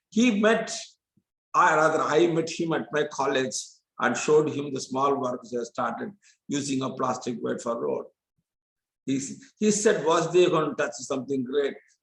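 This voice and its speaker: Somewhat breathy, the voice keeps a moderate pace with lively intonation, broken by long, frequent pauses. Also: man, fairly high pitch for a man. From India, Tamil Nadu. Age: 70s. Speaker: chemistry professor. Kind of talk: lecture.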